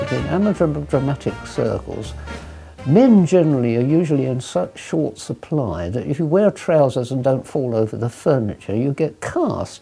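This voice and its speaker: Over music in the background, a man talks at medium pitch with lively intonation. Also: moderate pace. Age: 80s+. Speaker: amateur dramatics actor. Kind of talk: interview answer.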